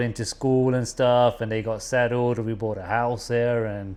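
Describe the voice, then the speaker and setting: Spoken with a British accent at a moderate pace, the voice is monotone with flat intonation against a quiet background. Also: man. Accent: English (UK). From England, East Midlands (Nottingham). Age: 40s. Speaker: businessman. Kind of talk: casual chat.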